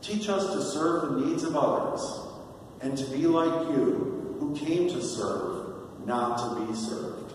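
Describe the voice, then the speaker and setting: A man speaks very slowly at a high pitch, his voice swinging very widely in pitch. Strong room echo surrounds him, along with light background noise. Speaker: deacon leading prayer. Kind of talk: liturgical prayer, leading intercessions and responses. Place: church.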